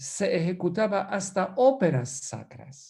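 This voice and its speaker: A man with a Polish accent speaks in a dark, mellow tone, his pitch swinging very widely. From Poland. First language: Polish (speaking Spanish). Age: 60s. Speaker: priest and musicologist. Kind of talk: lecture. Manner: animated.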